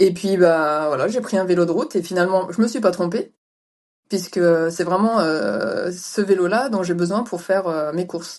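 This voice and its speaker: A woman with an unremarkable speaking voice talks at a moderate pace, her pitch rising and falling in an ordinary way. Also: medium pitch for a woman. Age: 40s. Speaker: ultra-distance cyclist. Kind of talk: interview.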